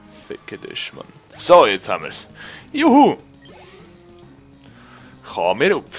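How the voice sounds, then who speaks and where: Music plays behind a man who speaks at a fairly slow pace. His loudness swings widely, and his pauses are long and frequent. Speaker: let's play gamer. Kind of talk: casual gameplay commentary. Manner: excitable, energetic.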